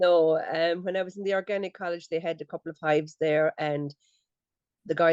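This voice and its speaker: A woman speaks in a very deep, low pitch with a Limerick accent. The sound is dry and close with no echo over a quiet background. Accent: Irish (Limerick). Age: 60s. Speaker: beekeeper. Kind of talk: casual chat.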